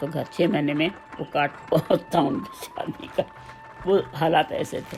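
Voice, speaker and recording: Music plays in the background as a woman speaks at a very deep, low pitch. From Hyderabad, India. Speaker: retired teacher and school principal. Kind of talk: memoir interview.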